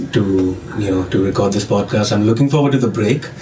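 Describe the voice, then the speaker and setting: In a room with audible echo and noticeable background noise, a man with an Indian accent talks at a fairly quick pace in a fairly low pitch. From India, New Delhi. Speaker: music student and tech entrepreneur. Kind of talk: casual interview.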